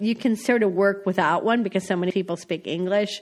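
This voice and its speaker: A woman with an American accent, a medium pitch, a plain, everyday voice and a moderate pace. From US Midwest, North Dakota. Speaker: foreign correspondent. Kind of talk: interview. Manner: conversational, casual.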